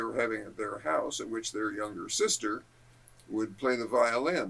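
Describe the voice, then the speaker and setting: Here a man speaks in a medium pitch with a Californian accent. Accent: American (Californian). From Southern California (Balboa Island). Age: 80s+. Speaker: local history interviewee. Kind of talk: oral history interview.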